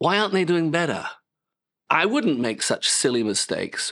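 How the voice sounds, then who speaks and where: This man has a British accent and a fairly high pitch. His voice swings very widely in pitch. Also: very clean recording, silent background. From Britain. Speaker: pastor. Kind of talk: sermon.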